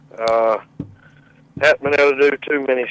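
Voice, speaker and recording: A man with a Southern accent and fairly even intonation. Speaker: caller. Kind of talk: casual chat. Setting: phone call.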